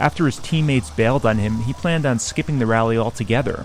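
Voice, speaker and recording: A man talks with ordinary pitch variation while music plays behind him. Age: 30s. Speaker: podcast host and traveller. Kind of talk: scripted narration.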